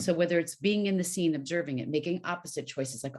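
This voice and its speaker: A woman speaks very fast, her intonation fairly even, with a quiet background. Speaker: voice actor and voiceover coach. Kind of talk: interview. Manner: clear diction and projection.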